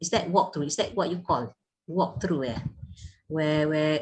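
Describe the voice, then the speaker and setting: A woman speaks in a somewhat breathy voice. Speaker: university lecturer. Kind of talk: online class feedback. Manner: hesitant, many repetitions.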